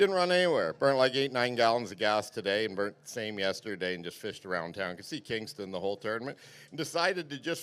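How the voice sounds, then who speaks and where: A man speaks at a very fast pace with hardly any pauses, his medium-pitched voice swinging very widely up and down. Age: 60s. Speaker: tournament angler. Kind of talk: weigh-in interview. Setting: stage with audience.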